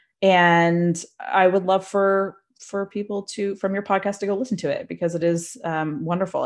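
A woman with a Maritime Canadian accent, medium pitch, fairly even intonation and a moderate pace, over a quiet background. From Nova Scotia, Canada. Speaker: photographer and educator. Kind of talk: interview conversation. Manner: casual with frequent fillers.

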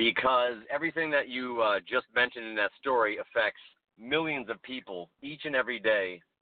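At a moderate pace, a man talks in an ordinary speaking voice, medium in pitch, with ordinary pitch variation. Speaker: podcast guest. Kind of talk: casual interview chat.

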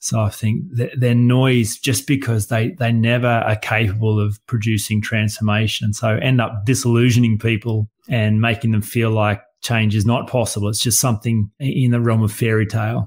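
In an Australian accent, a man talks at a moderate pace and medium pitch with monotone, flat intonation, a somewhat breathy quality, very even loudness and hardly any pauses. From rural Australia. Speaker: coach and workshop facilitator. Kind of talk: casual interview conversation. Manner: plain-spoken, concise.

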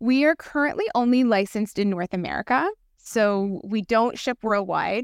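A woman with a Canadian accent uses a normal speaking voice, fairly high in pitch, at a moderate pace with ordinary pitch variation. The recording is very clean, with a silent background. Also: dry, close sound with no echo. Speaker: condom company founder. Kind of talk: casual interview.

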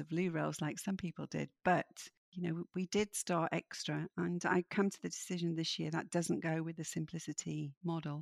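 A woman speaks in a Yorkshire accent at a moderate pace. The sound is dry and close, with no echo. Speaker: midlife coach and author. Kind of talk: interview conversation.

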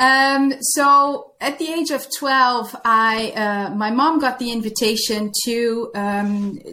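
With a Dutch accent, the speaker has a bright, sharp tone and ordinary pitch variation. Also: woman. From Netherlands. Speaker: former nun, workplace reintegration coach. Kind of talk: interview conversation. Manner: halting.

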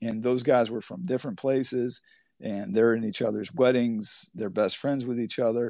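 A man's normal speaking voice at a medium pitch, fairly even intonation and a moderate pace against a quiet background. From Humboldt County, Northern California. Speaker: college baseball head coach. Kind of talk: interview.

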